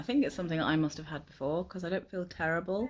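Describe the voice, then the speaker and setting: In a very clean recording with a silent background, a woman with a British accent speaks with lively intonation. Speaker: weight loss vlogger. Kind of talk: casual vlog.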